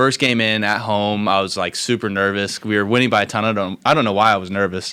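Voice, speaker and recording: A man talks at a very fast pace with hardly any pauses. He has an American accent and a bright, sharp tone. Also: fairly low pitch for a man, fairly even intonation. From Kansas (Hays). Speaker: college student podcast co-host. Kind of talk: casual chat.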